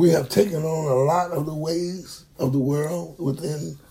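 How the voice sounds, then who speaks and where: A man with a fairly high pitch speaks in a somewhat breathy, dark, mellow tone with fairly even intonation. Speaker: preacher. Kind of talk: bible teaching.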